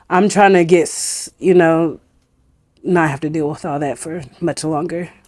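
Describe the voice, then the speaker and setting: With an American accent, a woman has an ordinary speaking voice, fairly low in pitch, talking at a fairly slow pace with fairly even intonation and big swings in loudness on a very clean recording with a silent background. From Northern California, Butte County. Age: 30s. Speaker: hair braider, business owner. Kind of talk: casual interview.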